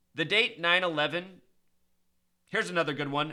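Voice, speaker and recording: Fairly high-pitched for a man, this is an ordinary speaking voice at a moderate pace. He keeps his intonation fairly even. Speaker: numerology conspiracy commentator. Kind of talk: video monologue commentary.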